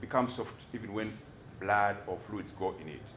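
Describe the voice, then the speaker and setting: The speech goes at a moderate pace, with audible room echo and noticeable background noise. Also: man. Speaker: doctor testifying as defence witness. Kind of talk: court testimony. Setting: courtroom. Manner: halting, repeats words.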